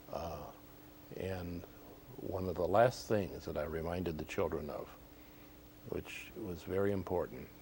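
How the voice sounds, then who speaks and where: A man with an American accent speaks at a very deep, low pitch in a dark, mellow tone. He is somewhat breathy and leaves long, frequent pauses. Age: 70s. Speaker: former department store Santa Claus, realtor. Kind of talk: TV interview, reminiscing. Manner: hesitant, many fillers.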